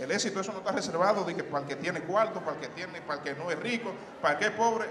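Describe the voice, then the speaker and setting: A man talks at a high pitch, with noticeable background noise behind him. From Dominican Republic. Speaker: motivational speaker, alumnus; motivational speaker. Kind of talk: motivational talk. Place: hall. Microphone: handheld.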